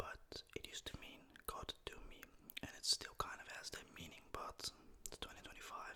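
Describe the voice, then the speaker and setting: Whispering in a Dutch accent at a moderate pace, over noticeable background noise. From Netherlands. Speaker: ASMR content creator. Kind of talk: ASMR language tutorial. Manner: soft-spoken; casual, animated.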